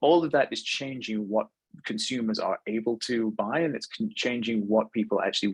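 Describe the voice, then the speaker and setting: A man with a British accent at medium pitch, ordinary pitch variation and a moderate pace, in a dry, close sound with no echo. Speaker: webinar presenter, fashion technology consultant. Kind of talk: webinar presentation. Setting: online webinar. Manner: fluent with frequent fillers and repetitions.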